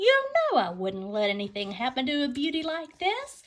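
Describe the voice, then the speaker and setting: High-pitched put-on character voice from a woman, delivered at a moderate pace. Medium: read story.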